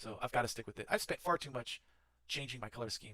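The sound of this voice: At a very fast pace, a man with a medium pitch talks in a bright, sharp tone with ordinary pitch variation.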